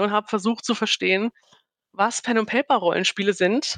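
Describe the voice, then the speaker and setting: A woman speaks in a flat monotone at a fairly high pitch, with a dry, close sound and no echo. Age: 30s. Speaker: game master and team-building facilitator. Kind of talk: casual interview chat.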